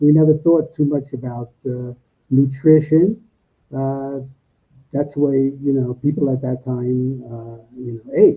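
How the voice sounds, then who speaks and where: At a fairly slow pace, a man with an American accent speaks in a somewhat breathy voice. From US Northeast, Brooklyn, New York. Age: 80s. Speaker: plant-based diet author. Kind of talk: interview. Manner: halting, many fillers.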